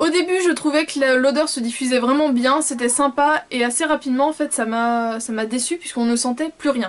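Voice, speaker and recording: Her voice is high for a woman, with ordinary pitch variation and hardly any pauses. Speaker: beauty vlogger. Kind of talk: casual product review vlog. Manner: fast.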